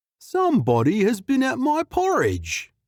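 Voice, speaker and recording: Someone puts on a character voice, speaking at a moderate pace. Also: man, extremely high pitch for a man. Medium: read story.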